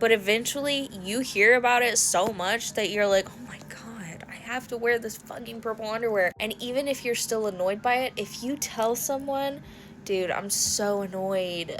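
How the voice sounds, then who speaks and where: Amid noticeable background noise, a woman speaks in an animated tone with ordinary pitch variation. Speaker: haunt industry content creator. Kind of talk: casual vlog monologue. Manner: loud.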